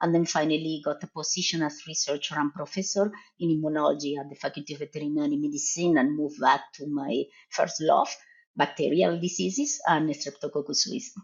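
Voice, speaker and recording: Speaking at a fairly quick pace with an Argentine accent, a woman uses a very deep, low pitch and ordinary pitch variation. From Argentina. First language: Spanish. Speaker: professor and veterinary researcher. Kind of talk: podcast interview.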